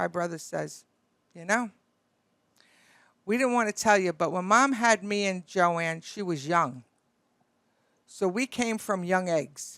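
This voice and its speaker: Speaking in a Brooklyn accent, a woman at a medium pitch talks at a fairly slow pace with lively intonation and long, frequent pauses, in a very clean recording with a silent background. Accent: Brooklyn New York. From Brooklyn, New York. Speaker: beauty industry broker. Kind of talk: casual storytelling. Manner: animated.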